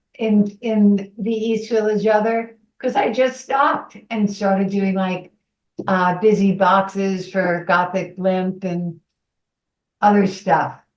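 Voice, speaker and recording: In a New York accent, a woman speaks at a very slow pace with a medium pitch and fairly even intonation. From New York City. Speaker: underground cartoonist. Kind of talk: interview.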